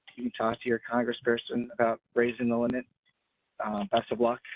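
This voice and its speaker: A man with a medium-pitched voice speaks at a moderate pace. His speech has long, frequent pauses. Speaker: housing program staff presenter. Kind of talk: webinar tutorial. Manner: many filler words.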